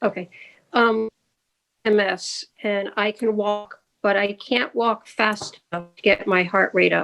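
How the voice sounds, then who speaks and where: A woman speaks at a medium pitch and fairly slow pace, her intonation flat and monotone while her loudness swings widely. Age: 70s. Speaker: audience member. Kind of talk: asking a question. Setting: video call.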